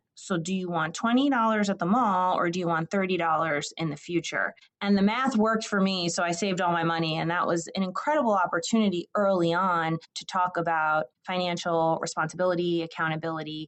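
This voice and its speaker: An unremarkable speaking voice from a woman with an American accent, fairly low in pitch, with ordinary pitch variation, a fairly quick pace, and hardly any pauses. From New Jersey. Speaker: state higher education official. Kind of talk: podcast interview.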